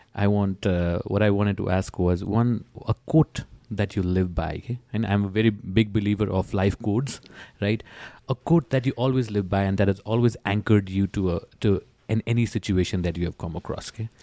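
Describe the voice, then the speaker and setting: A man with a Nepali accent speaks at a fairly quick pace in a fairly low, dark, mellow voice with ordinary pitch variation, recorded dry and close with no echo in a very clean recording against a silent background. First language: Nepali or Newari. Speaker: podcast host. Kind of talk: casual interview chat.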